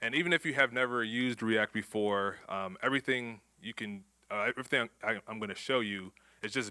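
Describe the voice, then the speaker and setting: A man with an American accent, bright and sharp in tone, with ordinary pitch variation, on a very clean recording with a silent background. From Houston, Texas. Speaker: conference speaker, software developer. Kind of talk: conference talk. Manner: fast.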